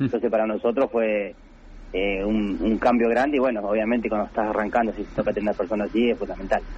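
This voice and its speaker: A man with fairly low pitch and monotone, flat intonation at a very fast pace. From Buenos Aires province, Argentina. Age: 30s. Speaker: professional footballer. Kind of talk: radio interview.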